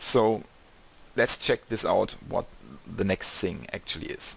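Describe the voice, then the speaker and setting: Speaking at a fairly slow pace, a man talks in a German accent. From Germany. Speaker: e-commerce developer. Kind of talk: screen-share tutorial. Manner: casual, slightly halting non-native.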